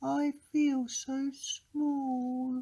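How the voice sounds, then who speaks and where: A put-on character voice pitched high. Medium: read story.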